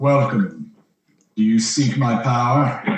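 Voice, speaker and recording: Using a put-on character voice of medium pitch, a man speaks at a fairly slow pace with a slight echo. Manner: solemn, inviting.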